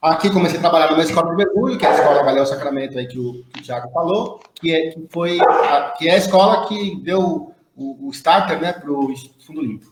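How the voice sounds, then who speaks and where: With a São Paulo accent, a man talks at a fairly quick pace in a fairly high voice, his loudness swinging widely. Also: ordinary pitch variation, hardly any pauses. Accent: paulista. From São Paulo, Brazil. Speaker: veterinarian and dive instructor. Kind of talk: casual live stream chat.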